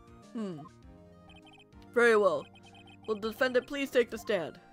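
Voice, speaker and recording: Over faint background music, a woman does a put-on character voice at a fairly high pitch, at a moderate pace with ordinary pitch variation. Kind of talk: courtroom speech. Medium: virtual streamer. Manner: formal, measured.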